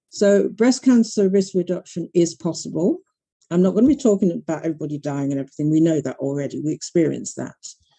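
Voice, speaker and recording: Speaking very fast with a British accent, a woman has a fairly low, dark, mellow voice and lively intonation. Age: 60s. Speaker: breast cancer advocate. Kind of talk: panel talk.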